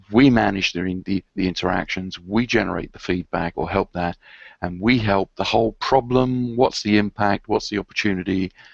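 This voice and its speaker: In a dry, close sound with no echo and a quiet background, a man with a London accent and fairly low pitch speaks at a moderate pace with fairly even intonation. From London, England. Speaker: conference speaker on IT service management. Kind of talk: presentation.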